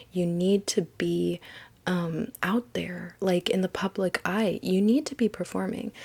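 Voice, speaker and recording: At a fairly slow pace, a woman speaks somewhat breathily at medium pitch with ordinary pitch variation. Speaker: tarot card reader. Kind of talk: tarot reading monologue.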